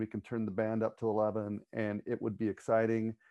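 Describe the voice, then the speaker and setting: Against a quiet background, a man with a plain, everyday voice talks at a fairly quick pace. His pitch is medium and the sound is dry and close with no echo. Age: 40s. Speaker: church pastor. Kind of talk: casual panel discussion.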